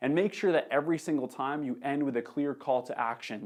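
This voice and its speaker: Against a quiet background, a man sounds energetic, his fairly high pitch showing ordinary variation. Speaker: social media marketer. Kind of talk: tutorial.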